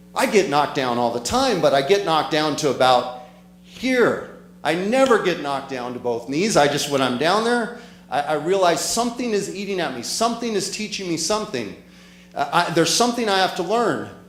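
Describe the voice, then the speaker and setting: Amid audible room echo, a man with a high pitch speaks in an animated tone at a fairly quick pace, his voice making very wide pitch swings. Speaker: motivational speaker. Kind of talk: motivational talk. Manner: fast.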